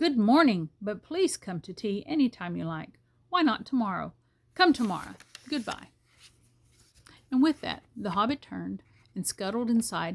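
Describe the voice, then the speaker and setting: Very wide pitch swings and big swings in loudness, somewhat breathy, at a moderate pace with long, frequent pauses. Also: woman, fairly high pitch for a woman. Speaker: grandmother reading aloud. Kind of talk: audiobook reading of a novel.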